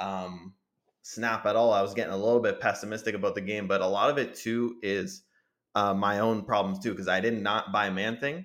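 Over a very clean, silent background, a man speaks fairly quickly at a fairly low pitch. He has an unremarkable speaking voice, and his intonation stays fairly even. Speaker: podcast host. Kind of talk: casual chat.

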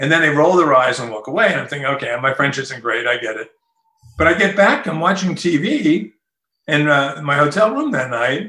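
With a New Jersey accent, a man talks at a moderate pace in a fairly high pitch, his tone bright and sharp and his intonation lively. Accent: New Jersey American. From Newark, New Jersey. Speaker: author. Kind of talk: interview.

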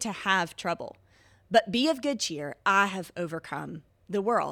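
A woman speaks with a Mississippi accent and very wide pitch swings. The recording is very clean, with a silent background. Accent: Southern US (Mississippi). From US South, Mississippi. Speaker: podcast host. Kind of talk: devotional monologue.

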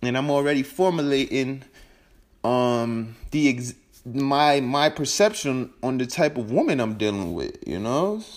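A man of medium pitch speaks with lively intonation at a fairly slow pace. The recording is very clean, with a silent background. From New York. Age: 20s. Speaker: podcast host. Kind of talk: casual monologue. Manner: halting, many repetitions and fillers.

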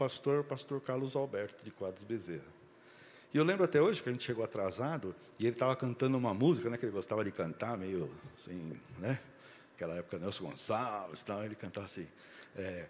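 The speech races at a very fast pace with lively intonation, broken by long, frequent pauses. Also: man, medium pitch for a man. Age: 50s. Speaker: guest preacher. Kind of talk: sermon. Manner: animated.

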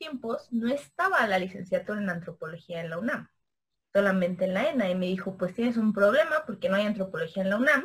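Talking at a fairly quick pace, a woman sweeps through very wide pitch swings. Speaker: anthropologist and philosophy teacher. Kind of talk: casual interview. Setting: video call.

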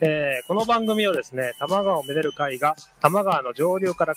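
In a dry, close recording with no echo, a man with a fairly high pitch speaks with lively intonation. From Nagano, Matsumoto area. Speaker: podcast host. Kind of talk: interview. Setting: outdoors, riverbank public recording. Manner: halting, many fillers.

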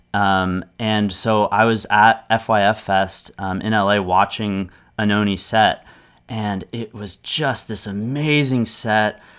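A man's fairly low voice at a very slow pace, with fairly even intonation, on a very clean recording with a silent background. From US, Los Angeles suburbs. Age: 30s. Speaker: business owner and music studio owner. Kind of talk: casual interview conversation. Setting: recording studio.

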